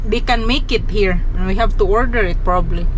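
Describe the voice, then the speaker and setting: A woman's voice in a dry sound with no echo, over noticeable background noise. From Philippines. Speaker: vlogger. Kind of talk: casual vlog narration. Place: car. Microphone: phone near.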